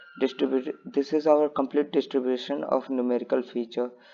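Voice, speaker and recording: A man with a non-native accent. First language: not English. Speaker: student presenting a project. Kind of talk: tutorial. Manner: halting.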